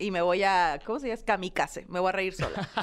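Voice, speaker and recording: A woman talking at a very fast pace on a very clean recording with a silent background. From Hermosillo, Sonora, northern Mexico. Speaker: comedian. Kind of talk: casual chat.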